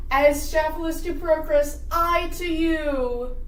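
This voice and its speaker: A high-pitched, put-on character voice speaks at a very slow pace, with slight echo and clear background noise. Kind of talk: comic overacting. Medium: stage play.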